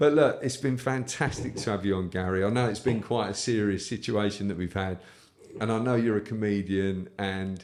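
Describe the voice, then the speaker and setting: A man speaks with a British accent. His pace is moderate and his pitch variation ordinary. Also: fairly low pitch for a man. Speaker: whisky podcast host. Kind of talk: casual chat.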